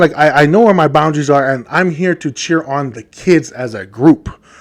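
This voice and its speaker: Loud and animated, a man's voice fills the clip. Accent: Hawaiian. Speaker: podcast host. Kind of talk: casual monologue.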